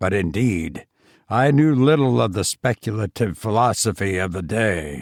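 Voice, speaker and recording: Using a put-on character voice, a man speaks at a fairly low pitch and a moderate pace on a very clean recording with a silent background. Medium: read story. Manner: gentle, reassuring.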